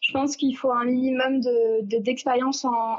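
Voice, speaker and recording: Over noticeable background noise, a woman with a high pitch speaks at a moderate pace. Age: 20s. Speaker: beautician. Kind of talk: casual interview.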